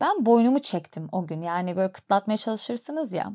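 Speech comes at a fairly quick pace. Its pitch rises and falls very widely. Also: woman. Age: 30s. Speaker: podcast host. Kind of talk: personal storytelling monologue. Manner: conversational.

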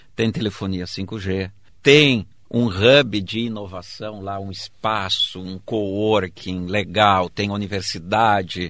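This man has a normal speaking voice, fairly low in pitch, with fairly even intonation at a fairly slow pace. The recording is very clean, with a silent background. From southern Brazil, Rio Grande do Sul interior (Erechim). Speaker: state secretary of innovation, professor. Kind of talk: interview.

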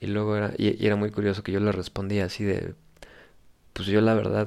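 On a very clean recording with a silent background, a man with a Mexican accent speaks at a fairly low pitch and moderate pace in a monotone, flat intonation. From Mexico. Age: 20s. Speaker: podcast host. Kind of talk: casual monologue.

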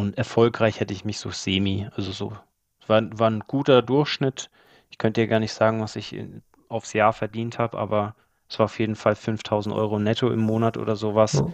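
Over a quiet background, a man with an unremarkable speaking voice talks at a fairly quick pace in a fairly low pitch, with fairly even intonation, big swings in loudness, and a dry, close sound with no echo. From Germany, Allgäu (Bavarian Swabia). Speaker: property flipper. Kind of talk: interview.

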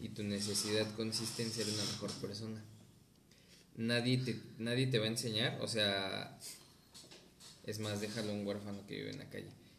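Against noticeable background noise and audible room echo, a man with a fairly low voice speaks in a flat monotone at a moderate pace, leaving long, frequent pauses. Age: 20s. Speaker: podcast guest. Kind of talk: casual chat.

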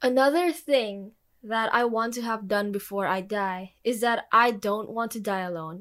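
A woman's fairly high voice with ordinary pitch variation, a plain, everyday voice, on a very clean recording with a silent background. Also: fairly slow pace. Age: 20s. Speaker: podcast co-host. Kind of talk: casual chat.

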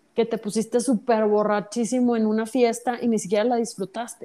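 A dark, mellow tone carries the speech at a moderate pace. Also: woman. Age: 40s. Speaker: Buddhist practitioner. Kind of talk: casual chat.

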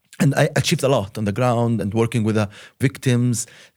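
A man with an Arabic accent talks at a fairly quick pace. His pitch is medium, with ordinary variation. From Palestine, Hebron. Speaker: human rights activist. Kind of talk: interview. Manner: halting, many fillers.

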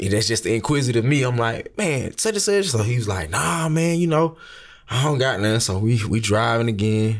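An American-accented man speaks at a moderate pace and medium pitch with lively intonation. His loudness stays very even on a very clean recording with a silent background. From US South, Atlanta. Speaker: brand manager, former football player. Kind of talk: casual interview. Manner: halting, repeats words.

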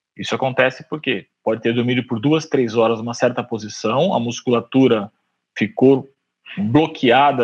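A man talks with a normal speaking voice at medium pitch. His pace is fairly quick. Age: 40s. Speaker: orthopedic surgeon. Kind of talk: casual chat.

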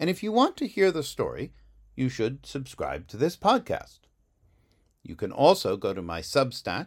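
A man's dramatic tone with vocal fry and very wide pitch swings at a fairly slow pace, on a very clean recording with a silent background. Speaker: author and podcaster. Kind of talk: literary audiobook reading of a blurb, measured and polished. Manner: deliberate, measured, dramatic pacing with pauses.

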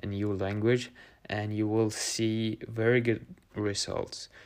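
Over a very clean recording with a silent background, a man with a Norwegian accent speaks at a very slow pace and fairly low pitch in a monotone, flat intonation. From Norway. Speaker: podcast host. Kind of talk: solo monologue.

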